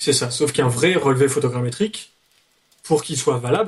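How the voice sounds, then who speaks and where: A man speaks with ordinary pitch variation. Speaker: youtuber. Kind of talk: explanatory discussion.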